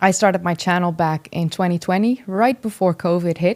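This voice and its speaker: The speaker has a Dutch accent and ordinary pitch variation. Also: woman. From Netherlands. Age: 30s. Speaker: history YouTuber. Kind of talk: interview conversation.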